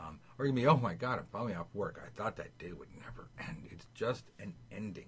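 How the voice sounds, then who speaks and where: At a fairly quick pace with hardly any pauses, a man speaks at medium pitch in a somewhat breathy, animated voice, with big swings in loudness. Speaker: tarot teacher. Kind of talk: tutorial. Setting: video call.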